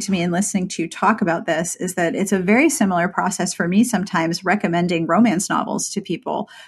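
A woman speaks at a very fast pace against a quiet background. Her medium-pitched voice is somewhat breathy. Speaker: podcast host. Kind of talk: interview. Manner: animated.

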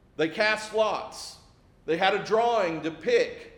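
The man's voice carries audible room echo. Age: 40s. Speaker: pastor. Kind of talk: sermon.

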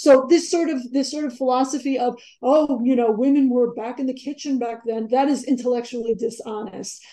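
A woman's high-pitched, dark, mellow voice with an American accent, fairly even intonation, a fairly quick pace and hardly any pauses. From New York (Queens, Long Island). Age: 40s. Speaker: author and journalist. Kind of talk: interview.

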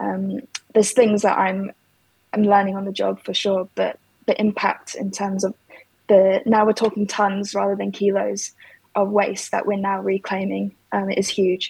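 Speaking with a London accent, a woman talks at a moderate pace. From London, England. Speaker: ceramic designer and materials researcher. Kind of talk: interview.

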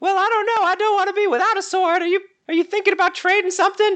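A man's put-on character voice, squeaky and extremely high-pitched, at a very fast pace. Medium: actual play. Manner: coy, haggling.

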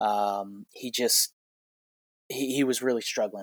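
A man with an American accent, fairly even intonation, and a dry, close sound with no echo. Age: 30s. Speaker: healthcare consultant and former teacher. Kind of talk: personal story monologue. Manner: halting.

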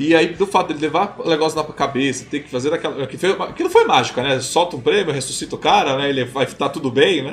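Very fast speech with hardly any pauses and ordinary pitch variation, over noticeable background noise. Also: man, fairly high pitch for a man. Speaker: podcast host. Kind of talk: casual panel discussion. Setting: live-streamed video recording.

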